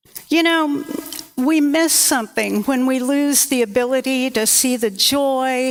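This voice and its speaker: This woman speaks at a very slow pace in a high pitch, with ordinary pitch variation. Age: old. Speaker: minister. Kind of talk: sermon.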